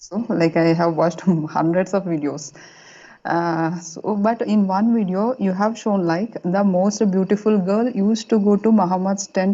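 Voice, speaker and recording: A woman with an Indian accent speaks at a medium pitch and a moderate pace. Her intonation is fairly even, and her loudness stays very even. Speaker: caller. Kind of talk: phone-in question. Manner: halting.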